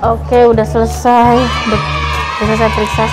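Loud music plays behind a woman as she speaks. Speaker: mother vlogger. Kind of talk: casual vlog chat. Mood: relieved, upbeat. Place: hall. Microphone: phone near.

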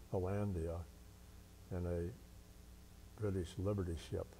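Very slowly and with lively intonation, a man with a Midwestern American accent speaks in a very deep, dark, mellow, somewhat breathy voice over light background noise. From Cincinnati area, Ohio. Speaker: war veteran. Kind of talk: oral history interview. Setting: veterans' hall. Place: hall. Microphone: lapel.

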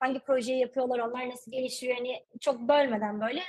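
A woman's high voice at a fairly quick pace against a quiet background. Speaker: cybersecurity specialist; guest. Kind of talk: casual interview. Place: home room. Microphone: video call.

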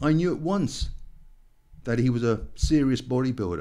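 A man's dark, mellow tone comes through against a quiet background. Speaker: podcast host. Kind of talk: podcast introduction. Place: home room. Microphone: studio mic.

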